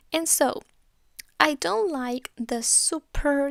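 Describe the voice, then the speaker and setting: A woman's voice comes across with a dry, close sound and no echo. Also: very clean recording, silent background. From Spain. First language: Spanish. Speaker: beauty YouTuber. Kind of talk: makeup tutorial. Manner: casual, chatty.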